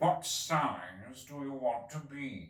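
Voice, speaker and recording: A man puts on a character voice with lively intonation at a medium pitch. A slight echo surrounds the sound. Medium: read story. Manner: curt, stern.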